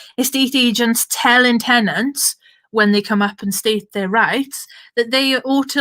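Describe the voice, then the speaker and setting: A woman speaks with a Welsh Valleys accent in a raised, projected voice. Her tone is bright and sharp, and her pace is moderate. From Wales (south Wales valleys). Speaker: political activist, event chair. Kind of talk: online panel moderation, casual political talk. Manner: animated, informal.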